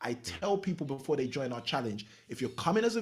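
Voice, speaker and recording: A man's somewhat breathy, animated voice with a British accent, fairly high in pitch, with very wide pitch swings, at a fairly quick pace. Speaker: real estate coach. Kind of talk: podcast interview.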